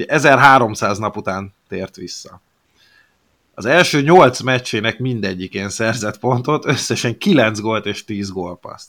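In a bright, sharp tone, a man speaks at a very slow pace on a very clean recording with a silent background. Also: medium pitch for a man, ordinary pitch variation, big swings in loudness. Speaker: hockey podcast co-host. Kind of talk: casual chat.

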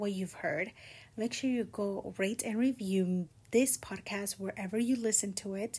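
Somewhat breathy and dark and mellow in tone, a woman's fairly high voice moves with lively intonation. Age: 20s. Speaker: podcast host. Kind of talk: solo casual talk. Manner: casual, conversational.

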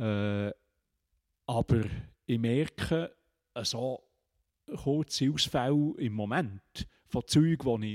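The recording of this man is very clean with a silent background, and the sound is dry and close with no echo. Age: 70s. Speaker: retired teacher. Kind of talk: casual interview conversation. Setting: meeting room.

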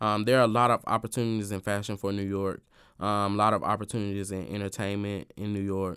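A man speaks very fast with a Southern US accent, in a fairly low pitch and a monotone, flat intonation, on a very clean recording with a silent background. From US South. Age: 20s. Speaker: event host and influencer. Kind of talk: casual interview. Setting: radio studio. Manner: talkative.

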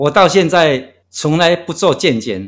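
A man's voice makes very wide pitch swings in a very clean recording with a silent background. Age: 60s. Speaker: long-distance walker. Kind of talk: interview. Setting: guesthouse room.

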